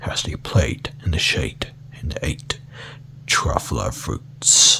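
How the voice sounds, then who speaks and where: Whispering at a very slow pace, a man can be heard through noticeable background noise. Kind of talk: ASMR book reading. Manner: soft, calm.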